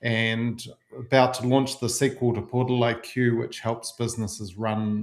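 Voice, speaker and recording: A man in a New Zealand accent, flat and monotone, at a fairly slow pace. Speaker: marketing software agency owner. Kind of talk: webinar presentation.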